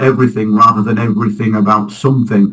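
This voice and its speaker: Talking at a very fast pace, a man speaks with a Yorkshire accent. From northern England, Halifax, West Yorkshire. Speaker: local election candidate. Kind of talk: interview.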